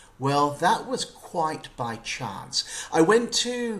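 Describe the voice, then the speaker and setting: The voice, in an English accent, has very wide pitch swings. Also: man. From UK. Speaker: journalist and author. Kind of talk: interview.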